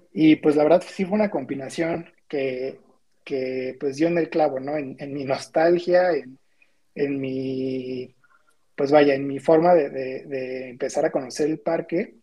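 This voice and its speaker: Fairly even in intonation and fairly slow in pace, the speech comes in an unremarkable speaking voice. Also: man, fairly high pitch for a man. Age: 20s. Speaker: graphic designer. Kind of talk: casual chat.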